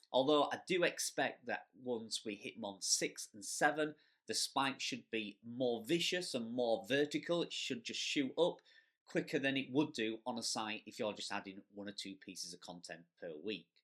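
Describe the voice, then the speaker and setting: On a very clean recording with a silent background, a man with a strong Yorkshire accent speaks at a medium pitch and moderate pace, his intonation lively. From Yorkshire, northern England. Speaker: blogger and affiliate marketing youtuber. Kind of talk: Q&A video answering viewer questions. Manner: casual, conversational.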